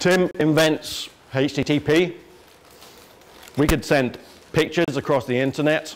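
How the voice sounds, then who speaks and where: Against noticeable background noise, a man with an English accent speaks at a fairly high pitch and fairly even intonation. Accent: English accent, self-described as funny. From England. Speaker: internet security executive. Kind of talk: lecture. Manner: casual, joking.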